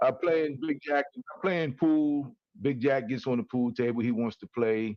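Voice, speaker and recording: A man's normal speaking voice, medium in pitch with ordinary pitch variation, at a fairly slow pace. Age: 60s. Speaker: co-host of talk show. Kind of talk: casual chat. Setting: livestream.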